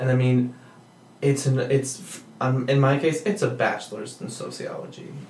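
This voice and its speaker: Noticeable background noise sits behind a voice moving at a moderate pace with ordinary pitch variation. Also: man, medium pitch for a man. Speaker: podcast host. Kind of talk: casual interview chat.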